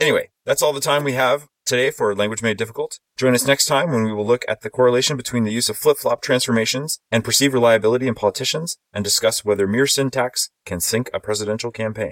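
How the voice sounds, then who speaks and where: With an American accent, the speaker talks at a very fast pace with hardly any pauses, and the sound is dry and close with no echo. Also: man. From Texas. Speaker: podcast host, linguist. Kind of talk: casual roundtable chat. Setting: video call, virtual conference. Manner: playful, jokey.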